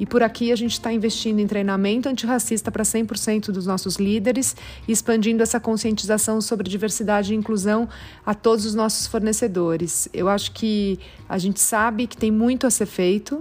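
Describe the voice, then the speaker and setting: Her delivery is fairly quick and monotone, with flat intonation. The woman's fairly high voice is somewhat breathy. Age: 40s. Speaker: business executive. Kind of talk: recorded testimony.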